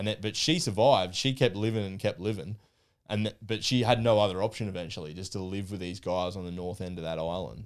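A man with an Australian accent, fairly low in pitch, at a very fast pace with ordinary pitch variation. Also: very clean recording, silent background. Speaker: podcast guest, history enthusiast. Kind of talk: casual chat.

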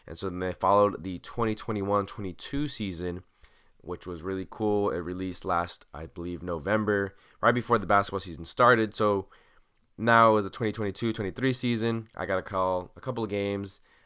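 An ordinary speaking voice from a man, fairly low in pitch with ordinary variation, at a moderate pace with big swings in loudness, on a very clean recording with a silent background. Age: 20s. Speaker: podcast host. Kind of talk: solo late-night monologue. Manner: relaxed, casual.

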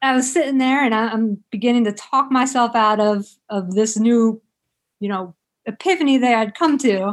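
An ordinary speaking voice from a woman with an American accent, fairly high in pitch, with ordinary pitch variation and a moderate pace, on a very clean recording with a silent background. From South Jersey, near Philadelphia. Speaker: author and physical therapist. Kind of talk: interview.

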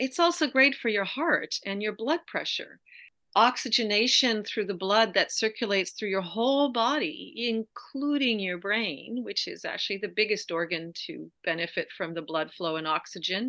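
With hardly any pauses, a woman speaks at a moderate pace in a fairly high pitch, with a bright, sharp tone and lively intonation, against a quiet background. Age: 60s. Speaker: yoga therapist. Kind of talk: interview. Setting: video call.

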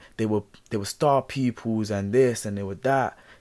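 On a very clean recording with a silent background, a man with a normal speaking voice talks at a moderate pace and medium pitch. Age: 20s. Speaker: self-help podcast host. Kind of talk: solo motivational talk. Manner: casual, repetitive fillers.

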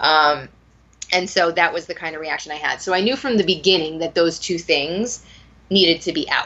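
A woman's plain, everyday voice, fairly low in pitch, at a moderate pace with ordinary pitch variation. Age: 30s. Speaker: memoir author in food addiction recovery. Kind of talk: casual interview.

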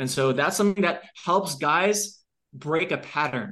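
Over a quiet background, a man with an American accent talks at a moderate pace, his tone bright and sharp and his intonation lively. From Long Island, New York. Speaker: fitness coach and company founder. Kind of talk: interview.

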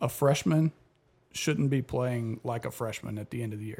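Somewhat breathy and dark, mellow in tone, the voice shows ordinary pitch variation. The recording is very clean, with a silent background. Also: man. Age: 20s. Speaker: fill-in football analyst. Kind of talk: casual sports chat. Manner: repetitive, halting.

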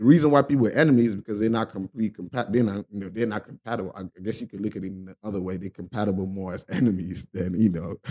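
With big swings in loudness, a man speaks very fast in a fairly low pitch with ordinary variation and a dark, mellow tone. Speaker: video creator. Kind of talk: casual monologue. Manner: halting, repeated words.

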